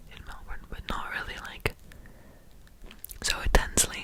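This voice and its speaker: A woman is whispering over noticeable background noise. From Netherlands. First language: Dutch. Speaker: podcaster. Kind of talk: ASMR ramble. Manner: halting.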